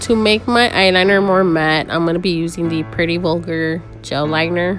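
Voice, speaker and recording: A woman's fairly low voice at a moderate pace, fairly even in intonation, with music in the background. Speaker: makeup tutorial creator. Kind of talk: makeup tutorial voice over.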